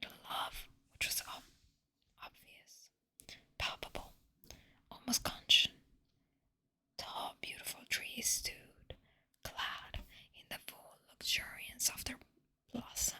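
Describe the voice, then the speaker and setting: Whispering at a very slow pace, a woman leaves long, frequent pauses while her loudness swings widely. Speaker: ASMR artist. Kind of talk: whispered audiobook-style reading of literature. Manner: whispered, soft.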